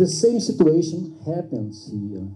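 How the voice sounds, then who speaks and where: With a non-native accent, a man speaks very slowly in a dark, mellow tone that is somewhat breathy. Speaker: ESL student. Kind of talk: audience question. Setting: classroom event with live audience. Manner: halting. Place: meeting room. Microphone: camera far.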